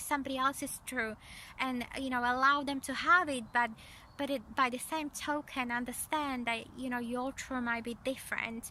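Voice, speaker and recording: This raised, projected voice has a bright, sharp tone and a monotone, flat intonation, moving at a moderate pace with a non-native accent. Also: woman. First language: not English. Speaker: energy psychology coach. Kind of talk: spiritual coaching talk to camera. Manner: halting, many fillers and repeats.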